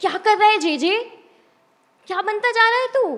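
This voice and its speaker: Pitch swings very widely while the delivery keeps a moderate pace. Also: woman. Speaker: poet. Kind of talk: spoken word poetry performance; talk to audience. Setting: stage with audience.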